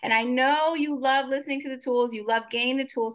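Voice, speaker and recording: A woman speaks in a raised, projected voice, pitched high. Her tone is warm and upbeat yet bright and sharp, with ordinary pitch variation. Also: quiet background. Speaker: podcast host. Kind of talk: casual interview chat. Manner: warm, upbeat, affirming.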